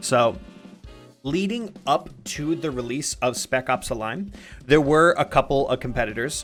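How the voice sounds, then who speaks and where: A man speaks with lively intonation. Music can be heard in the background. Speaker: video game discussion streamer. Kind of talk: casual live stream talk. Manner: fast.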